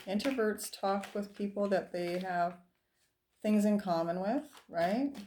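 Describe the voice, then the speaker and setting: On a very clean recording with a silent background, a soft-spoken woman with a dark, mellow tone talks at a fairly slow pace and medium pitch, with ordinary pitch variation and long, frequent pauses. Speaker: tarot reader. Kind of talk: tarot reading.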